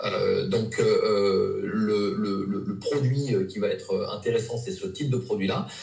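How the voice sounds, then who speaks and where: A man speaks at a fairly slow pace with hardly any pauses, with audible room echo and noticeable background noise around him. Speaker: nutrition practitioner. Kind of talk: interview. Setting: live video interview. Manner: hesitant, many fillers.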